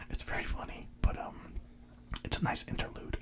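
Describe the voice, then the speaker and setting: Someone whispers in a relaxed tone at a moderate pace. There is noticeable background noise. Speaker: ASMR content creator. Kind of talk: ASMR whisper ramble about music. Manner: whispered, relaxed.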